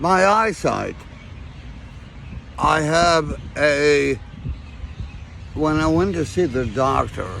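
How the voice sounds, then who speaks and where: A man's very slow delivery with long, frequent pauses, very even loudness and noticeable background noise. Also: lively intonation. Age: 60s. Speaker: homeless man. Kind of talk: casual chat. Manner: halting.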